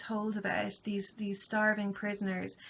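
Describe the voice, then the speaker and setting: At a moderate pace, a woman speaks in a fairly high pitch. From Ireland. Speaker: university lecturer. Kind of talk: lecture. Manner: hesitant, many fillers.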